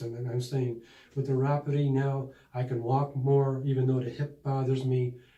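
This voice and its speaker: In an American accent, a man at medium pitch speaks at a moderate pace with a dark, mellow tone, somewhat breathy and monotone, flat intonation. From Buffalo, New York. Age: 60s. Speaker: patient. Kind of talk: testimonial interview. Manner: halting.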